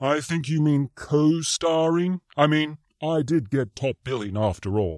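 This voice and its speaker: A man's put-on character voice, fairly high in pitch and fairly slow, in a very clean recording with a silent background. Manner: sarcastic, smug.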